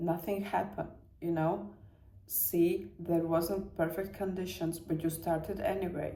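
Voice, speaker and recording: In a room with audible echo, a woman with a Latvian accent speaks at a fairly low pitch in a dark, mellow tone with vocal fry. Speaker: self-help vlogger. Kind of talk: personal motivational talk. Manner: halting, searching for words.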